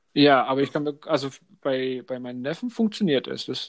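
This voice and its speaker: A fairly high male voice with a Franconian accent on a very clean recording with a silent background. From Upper Franconia, Germany. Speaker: podcast co-host. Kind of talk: casual chat.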